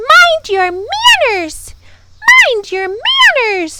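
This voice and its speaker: Very slowly, a woman speaks in a put-on character voice that is squeaky and extremely high-pitched. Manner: angry, screaming.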